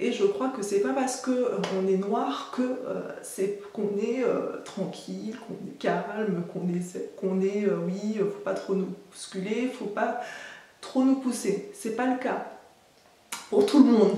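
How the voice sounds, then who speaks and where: A woman with a slight Antillean accent speaks at a very slow pace and a fairly high pitch, with ordinary pitch variation. Audible room echo and noticeable background noise fill the recording. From French Antilles. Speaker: nurse. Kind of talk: personal vlog. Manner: hesitant, many fillers.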